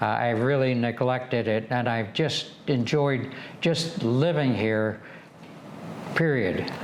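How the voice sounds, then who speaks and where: A man with an American accent at a very slow pace, very even loudness and ordinary pitch variation, over noticeable background noise. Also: medium pitch for a man. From Michigan, USA. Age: 80s+. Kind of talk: interview answer.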